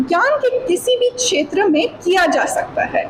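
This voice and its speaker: Noticeable noise sits behind a woman's voice. She has a non-native accent and lively intonation. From USA (California). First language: not Hindi (speaking Hindi). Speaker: PhD researcher giving seminar. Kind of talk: seminar talk to students. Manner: partly read aloud from notes; halting with fillers.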